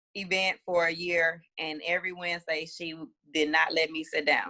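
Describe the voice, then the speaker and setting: A woman speaks in a bright, sharp tone. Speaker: spoken word poet. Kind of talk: podcast interview.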